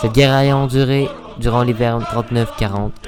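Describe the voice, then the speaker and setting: Music plays in the background as a man speaks. His pitch varies in an ordinary way. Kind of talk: history explainer narration. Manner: casual, crude, joking.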